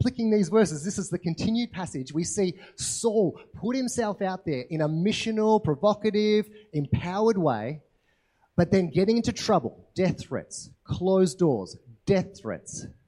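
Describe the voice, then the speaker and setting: A man with an Australian accent, a high pitch, a dark, mellow tone, lively intonation and a moderate pace. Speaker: pastor. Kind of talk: sermon. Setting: church.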